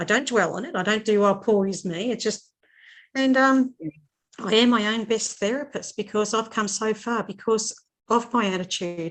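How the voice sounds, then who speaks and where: Against a quiet background, a woman with an Australian accent speaks at a moderate pace in a fairly high voice with ordinary pitch variation. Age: 60s. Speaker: writer. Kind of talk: casual chat.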